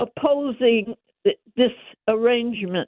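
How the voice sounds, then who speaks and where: With an American accent and a high pitch, a woman speaks at a very slow pace. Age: 90s. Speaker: caller. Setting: phone call.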